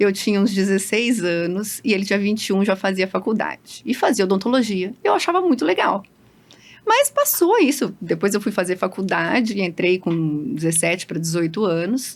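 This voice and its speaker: The speech moves at a moderate pace, its pitch varying in an ordinary way. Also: woman, medium pitch for a woman. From Londrina, Paraná, Brazil. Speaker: dentist. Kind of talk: interview podcast.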